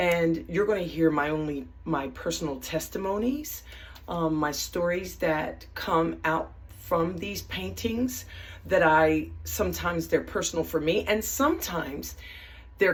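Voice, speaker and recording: Fairly slow speech from a woman, with room echo audible. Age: 60s. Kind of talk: casual video introduction. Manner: animated; halting.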